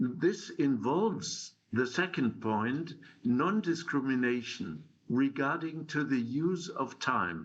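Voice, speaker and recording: Audible room echo carries the very slow speech of a man with medium pitch and lively intonation. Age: 70s. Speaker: conference speaker on time policy. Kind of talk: conference talk. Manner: halting, many fillers.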